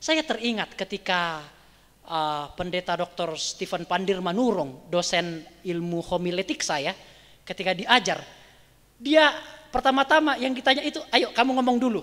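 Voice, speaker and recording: A North Sumatran accent at a moderate pace. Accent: Batak dialect. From Batak (North Sumatra), Indonesia. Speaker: pastor teaching preaching. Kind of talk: bible study lecture.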